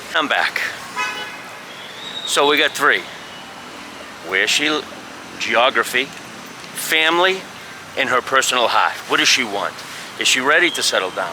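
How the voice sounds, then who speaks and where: Amid noticeable background noise, a fairly high-pitched man speaks slowly-ish, with lively intonation and long, frequent pauses. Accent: strong Boston. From US Northeast, Boston. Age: old. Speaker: expat vlogger. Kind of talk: casual vlog monologue. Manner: casual, halting with fillers.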